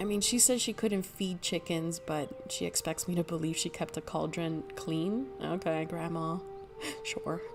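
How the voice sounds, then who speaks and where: A fairly low female voice at a fairly slow pace, ordinary pitch variation and background music. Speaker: video game streamer. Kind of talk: casual gameplay commentary. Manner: hesitant, many fillers.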